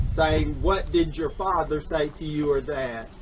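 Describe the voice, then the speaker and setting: A man is speaking amid noticeable background noise. Room echo is audible. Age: 60s. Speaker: former student speaking at memorial. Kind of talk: public testimony.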